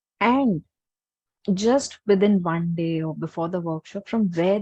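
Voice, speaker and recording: A soft-spoken woman with an Indian accent talks at a fairly slow pace, at a medium pitch and in a dark, mellow tone, with lively intonation. The sound is dry and close with no echo, and the background is quiet. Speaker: healer and workshop teacher. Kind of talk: webinar Q&A and guided meditation intro. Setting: online webinar.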